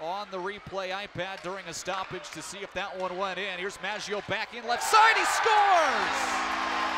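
A man's speech at a moderate pace with hardly any pauses and fairly even intonation, dry with no echo, over loud background noise. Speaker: hockey play-by-play announcer. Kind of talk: live play-by-play hockey commentary. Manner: shifts to calmer wrap-up summary after the final goal. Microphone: headset.

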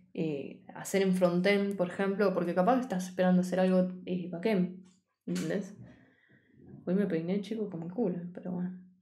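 At a moderate pace, a woman with a medium pitch speaks in a dark, mellow, somewhat breathy tone with monotone, flat intonation. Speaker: programming teacher. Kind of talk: live-streamed coding class. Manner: casual, chatty with live chat; stumbling, self-correcting. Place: home room.

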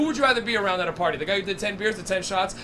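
With light background noise behind him, a man speaks at a very fast pace in a raised, projected voice with ordinary pitch variation. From Canada. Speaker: stand-up comedian. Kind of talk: stand-up. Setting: stage with audience. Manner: animated. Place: stage. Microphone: handheld.

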